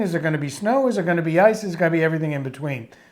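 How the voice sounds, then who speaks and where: On a very clean recording with a silent background, a man speaks with a Boston accent. His pitch is high and his intonation lively. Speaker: podcast co-host. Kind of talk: casual chat. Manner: halting.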